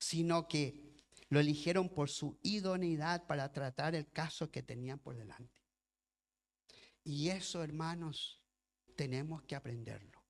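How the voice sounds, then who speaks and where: Pausing often and at length, a man speaks fairly slowly in a fairly high voice with ordinary pitch variation. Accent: non-native. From lived in Chile as a child, raised elsewhere. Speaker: pastor and missionary. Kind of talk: sermon. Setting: church. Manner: reading from notes.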